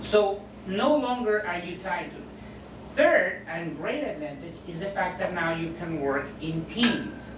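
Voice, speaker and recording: A woman's voice at a fairly slow pace with lively intonation, noticeable background noise and audible room echo. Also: medium pitch for a woman. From Mexico. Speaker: interpreter trainer. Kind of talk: lecture. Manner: loud.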